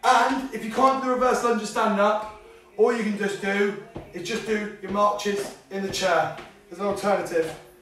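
A man's high-pitched voice at a moderate pace, with fairly even intonation, audible room echo and light background noise. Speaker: fitness instructor. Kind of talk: tutorial. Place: home room. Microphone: camera far.

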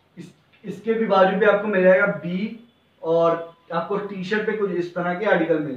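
In a room with audible echo, a man speaks at a high pitch and a moderate pace with ordinary pitch variation.

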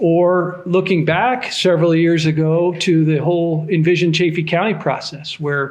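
A man is speaking. His pitch is fairly high. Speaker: county commissioner. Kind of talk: public meeting remarks. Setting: community meeting room with audience. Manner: soft-spoken.

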